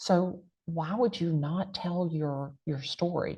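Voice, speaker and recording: A woman with an American accent sounds animated and somewhat breathy, her pitch very deep and low. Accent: big country. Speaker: real estate agent and content creator. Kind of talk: panel interview.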